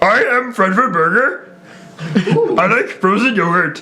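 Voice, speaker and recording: A strained, put-on character voice moves at a fairly slow pace. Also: man, high pitch for a man. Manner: goofy.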